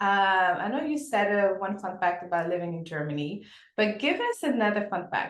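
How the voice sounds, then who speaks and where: A woman's medium-pitched voice with a French accent, fairly quick, animated, with very wide pitch swings and audible room echo. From Senegal. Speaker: podcast host. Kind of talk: interview.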